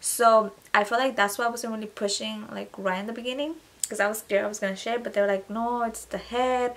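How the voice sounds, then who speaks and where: Her intonation fairly even, a woman talks at a very fast pace. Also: fairly high pitch for a woman. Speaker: vlogger. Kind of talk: casual storytelling vlog.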